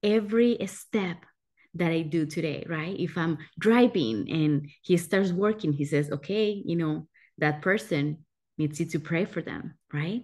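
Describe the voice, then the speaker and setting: A woman speaks in an ordinary speaking voice at a fairly slow pace, her fairly low pitch showing ordinary variation over a quiet background. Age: 30s. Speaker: pastor. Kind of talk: sermon.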